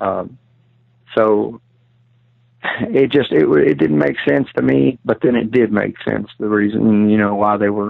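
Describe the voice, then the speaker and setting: This man speaks with a Kentucky accent. His pitch is fairly low. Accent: Kentucky Southern US. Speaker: outdoorsman recounting encounter. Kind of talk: testimony.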